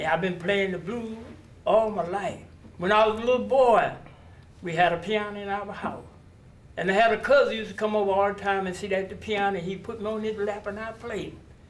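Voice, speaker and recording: In a room with audible echo, a man with a high pitch speaks at a fairly quick pace with fairly even intonation. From US South (North Carolina, Durham). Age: 80s+. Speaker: blues musician. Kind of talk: interview. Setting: outdoors on location.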